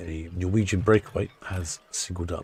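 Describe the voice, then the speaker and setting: A fairly slow pace in a southern English accent, with ordinary pitch variation. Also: man. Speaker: live stream ship-watching host. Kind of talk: live stream chat. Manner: casual, chatty.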